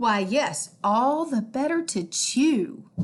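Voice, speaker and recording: A woman uses a put-on character voice. She speaks at a very slow pace and a high pitch. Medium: read story.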